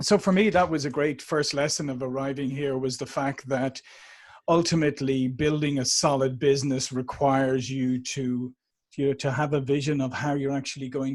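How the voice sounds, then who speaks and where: At a moderate pace, a man with an Irish accent speaks at a medium pitch with fairly even intonation. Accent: Irish, warm. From Ireland, Dublin. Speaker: sales and marketing executive. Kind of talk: podcast interview.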